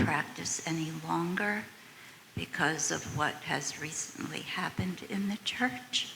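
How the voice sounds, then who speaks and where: A woman whispers over noticeable background noise. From United States. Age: 80s+. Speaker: audience member. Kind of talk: audience question and comment.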